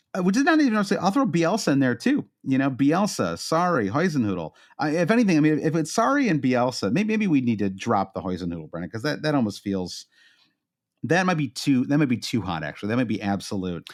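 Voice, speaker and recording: A man with a Midwestern American accent, fairly high-pitched and very fast, with very wide pitch swings, on a very clean recording with a silent background. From US Midwest. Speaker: podcast co-host. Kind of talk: casual chat. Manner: halting, many fillers.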